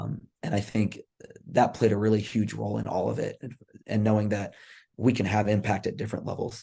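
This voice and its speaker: An American-accented man talks at a fairly quick pace with long, frequent pauses, a fairly low pitch, fairly even intonation, vocal fry, and a dark, mellow tone. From Texas. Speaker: college volleyball coach. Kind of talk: podcast interview. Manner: casual, many fillers.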